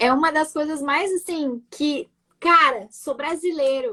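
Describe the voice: A woman with a high pitch and ordinary pitch variation speaks at a fairly slow pace, in a dry, close sound with no echo.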